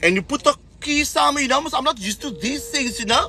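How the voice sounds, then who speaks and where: A man's raised, projected voice, animated in tone with lively intonation, amid noticeable background noise. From South Africa. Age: 40s. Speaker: social media vlogger. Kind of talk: casual livestream monologue.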